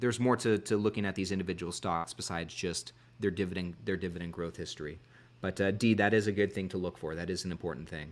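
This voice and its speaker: At a fairly quick pace, a man speaks with a fairly low pitch and ordinary pitch variation. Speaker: investing streamer. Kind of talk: live stream chat reading viewer comments. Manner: halting, frequent restarts and fillers. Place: home room. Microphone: studio mic.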